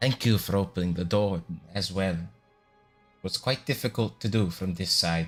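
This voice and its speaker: A man's put-on character voice, raspy and very deep, at a moderate pace with long, frequent pauses, over faint music in the background. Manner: calm, faintly menacing.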